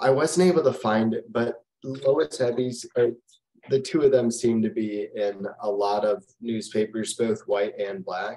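At a fairly slow pace, a man speaks with a fairly low pitch, a dark, mellow tone and fairly even intonation.

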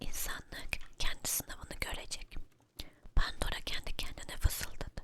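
Someone is whispering at a fairly slow pace. There is noticeable background noise. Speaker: storyteller. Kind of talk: ASMR story reading. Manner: whispered.

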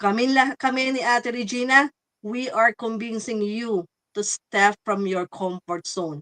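In a dry, close sound with no echo, the bright, sharp voice moves at a fairly slow pace with ordinary pitch variation. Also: woman, fairly high pitch for a woman. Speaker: online business owner. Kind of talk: live stream chat.

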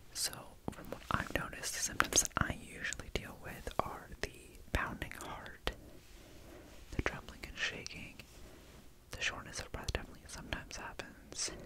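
Amid loud background noise, a man whispers in a soft-spoken way at a moderate pace, with long, frequent pauses. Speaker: vlogger. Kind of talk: casual vlog chat. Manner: soft whisper close to the mic. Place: home room. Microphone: studio mic.

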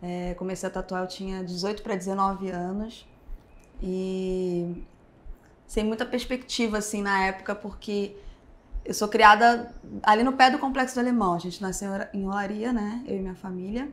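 A woman talks at a moderate pace with fairly even intonation. Her pauses are long and frequent. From Rio de Janeiro, Brazil. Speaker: tattoo artist; podcast guest. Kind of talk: casual interview. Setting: tattoo convention backstage. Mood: relaxed, reflective. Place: studio.

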